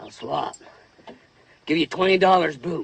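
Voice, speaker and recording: Raspy and high-pitched, a man performs a put-on character voice at a moderate pace, in a dry, close sound with no echo. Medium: short film. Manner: terse, drawling.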